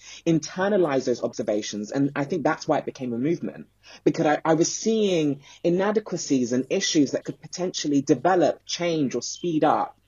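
A man's fairly high voice at a fairly quick pace, with lively intonation. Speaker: content creator and youth employment advocate. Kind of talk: interview. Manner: talkative.

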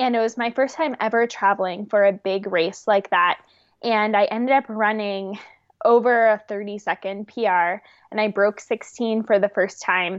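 A woman talks at a fairly slow pace in a plain, everyday voice. Her pitch is fairly high, and her intonation stays fairly even. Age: 20s. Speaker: professional distance runner. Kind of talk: interview.

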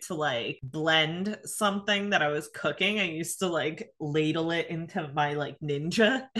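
A woman's bright, sharp tone, fairly low in pitch, at a fairly slow pace. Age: 30s. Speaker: podcast co-host. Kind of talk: casual chat.

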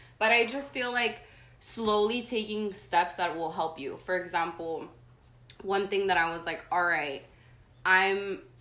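The tone is bright and sharp, with ordinary pitch variation. The pace is fairly slow, and room echo is audible. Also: woman, medium pitch for a woman. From San Diego, California, born in Tijuana, Mexico. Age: 20s. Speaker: artist. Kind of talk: casual interview chat.

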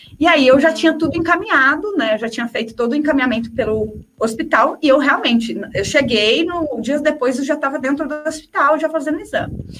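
Over noticeable background noise, a high-pitched woman talks at a fairly quick pace with ordinary pitch variation and hardly any pauses. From interior of São Paulo state, Brazil. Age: 30s. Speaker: travel journalist. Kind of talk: casual interview chat.

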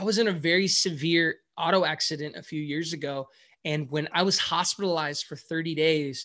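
A man with an American accent speaks at a moderate pace in a fairly high pitch. His tone is bright and sharp, with ordinary pitch variation. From US, San Francisco Bay Area. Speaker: pastor. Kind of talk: sermon. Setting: video call.

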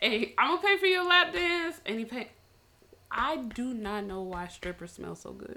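A raised, projected voice moves through very wide pitch swings at a moderate pace. Noticeable background noise runs underneath. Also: woman. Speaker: podcast co-host. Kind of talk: casual chat.

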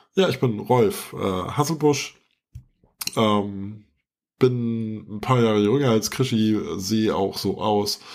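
A man's very slow, fairly low-pitched speech with ordinary pitch variation and long, frequent pauses. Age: 40s. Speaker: podcast host, IT professional. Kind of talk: casual chat. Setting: video call.

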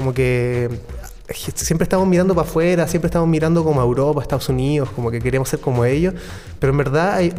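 Amid noticeable background noise, a man speaks at a very fast pace, his fairly high pitch varying in an ordinary way. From Chile, Santiago. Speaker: electronic music producer. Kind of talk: interview.

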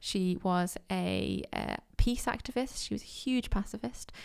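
A woman is talking. She speaks with a Mancunian accent. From Manchester, England. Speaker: museum podcast host. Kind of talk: podcast interview and narration. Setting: in a museum.

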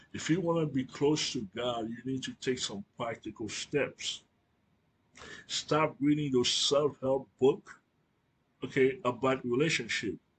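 A man speaks at a fairly slow pace with a medium pitch. His voice is somewhat breathy, with ordinary pitch variation. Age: 40s. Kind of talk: religious teaching monologue. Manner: hesitant with fillers.

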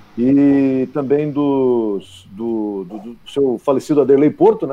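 A man's voice over noticeable background noise. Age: 50s. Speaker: football club insider and commentator. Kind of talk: sports talk show.

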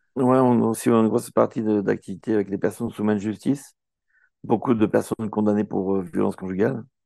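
Against a quiet background, a man with a fairly low pitch and a dark, mellow tone speaks at a very fast pace with ordinary pitch variation. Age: 60s. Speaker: nonprofit co-founder, former nurse and performer. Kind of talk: casual interview.

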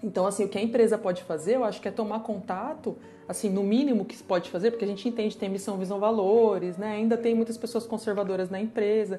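At a very fast pace with hardly any pauses, a woman talks in a fairly high pitch with fairly even intonation. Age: 30s. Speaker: designer. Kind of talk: casual chat.

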